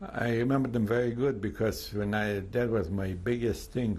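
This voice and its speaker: A man speaks in a dark, mellow tone that is somewhat breathy. His pitch variation is ordinary. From Poland, Lviv. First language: Polish or Yiddish. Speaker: Holocaust survivor. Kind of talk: testimony interview. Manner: halting, many fillers.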